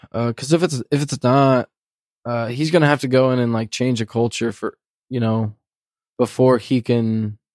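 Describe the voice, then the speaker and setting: A man with an ordinary speaking voice, medium pitch, fairly even intonation and moderate pace, dry and close with no echo, on a very clean recording with a silent background. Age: 20s. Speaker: basketball podcast co-host. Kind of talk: casual chat.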